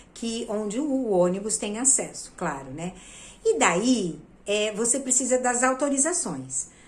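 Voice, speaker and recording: A woman speaks with very wide pitch swings. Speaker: theatre actress and producer. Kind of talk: video lesson.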